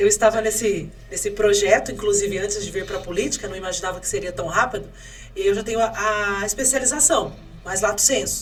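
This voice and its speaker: Amid noticeable background noise and audible room echo, a woman of medium pitch talks at a fairly quick pace with ordinary pitch variation. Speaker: mayoral candidate. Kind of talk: podcast interview. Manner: fast.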